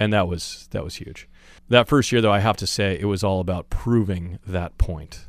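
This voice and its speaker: A man's very deep, low voice with an American accent, ordinary pitch variation, a moderate pace, and a very clean recording with a silent background. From Northern California, Chico. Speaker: volleyball coach. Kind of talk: interview. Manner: articulate.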